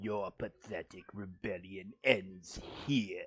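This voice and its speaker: A man talks at a very slow pace in a put-on character voice. His pitch sits fairly low. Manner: menacing, pompous.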